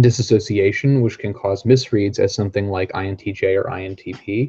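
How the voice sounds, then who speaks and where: Speaking at a fairly quick pace, a man has a somewhat breathy, dark, mellow tone and fairly even intonation. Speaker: trainee practitioner. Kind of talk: reading aloud. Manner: fast.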